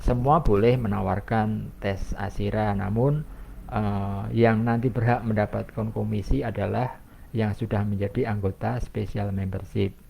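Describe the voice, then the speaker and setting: A man with a fairly low pitch and a dark, mellow tone speaks at a fairly slow pace. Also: ordinary pitch variation. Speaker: program presenter for a health testing membership. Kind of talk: live online explanation session. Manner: many filler 'eh' hesitations.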